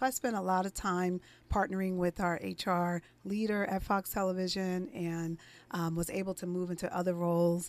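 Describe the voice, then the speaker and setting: A woman with an American accent has an ordinary speaking voice, medium in pitch, with fairly even intonation at a moderate pace. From US Northeast, East Orange, New Jersey. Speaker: HR consultant. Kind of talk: radio interview. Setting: radio studio.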